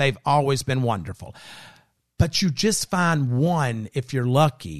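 An ordinary speaking voice with an American accent and lively intonation moves at a fairly slow pace against a quiet background. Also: man, medium pitch for a man. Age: 50s. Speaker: podcast host. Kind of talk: casual chat. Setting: studio.

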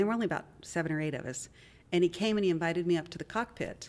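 With an American accent, a woman talks very fast in a fairly low voice with ordinary pitch variation. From US, West Virginia (Wheeling). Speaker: nonprofit leader and tech startup CEO. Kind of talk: interview conversation.

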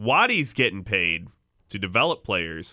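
In a dry, close recording with no echo and a silent background, a man speaks fairly slowly with a bright, sharp tone. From Chicago. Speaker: sports podcast host. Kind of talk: casual chat.

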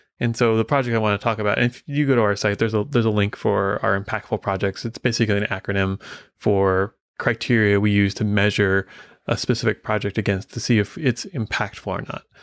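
A man talks at a very fast pace, his fairly low voice held to a fairly even intonation. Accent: American. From US Midwest. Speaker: software consulting company leader. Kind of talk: casual interview chat.

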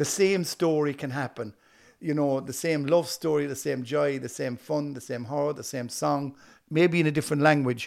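With an Irish accent, a man speaks at a moderate pace and fairly high pitch with fairly even intonation, in a very clean recording with a silent background. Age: 60s. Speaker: actor and comedian, former musician. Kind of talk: casual interview chat.

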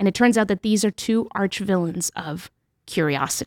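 In a very clean recording with a silent background, a woman with an American accent talks at a moderate pace and medium pitch, her plain, everyday voice showing ordinary pitch variation in a dry, close sound with no echo. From New Hampshire, born in Mexico. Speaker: author and journalist. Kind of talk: interview.

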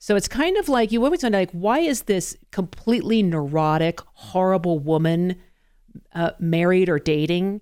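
Using lively intonation, a woman with a General American accent speaks at a moderate pace in a dark, mellow tone at very even loudness. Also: medium pitch for a woman. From Colorado. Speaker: radio talk show host. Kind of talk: casual chat.

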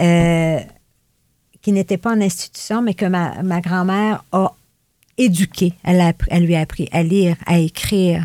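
The speaker's dark, mellow tone moves at a fairly slow pace with fairly even intonation and long, frequent pauses, the sound dry and close with no echo. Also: woman, fairly low pitch for a woman. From Gaspé Peninsula, Quebec. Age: 60s. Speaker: retired youth rehabilitation worker. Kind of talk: casual interview.

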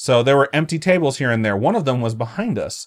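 Lively intonation runs through a normal speaking voice. The recording is very clean, with a silent background. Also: man. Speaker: podcast host. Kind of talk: casual banter. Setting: live stream.

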